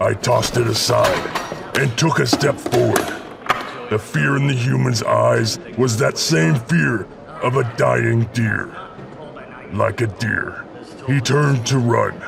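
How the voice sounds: A put-on character voice at a fairly slow pace, over clear background noise. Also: man.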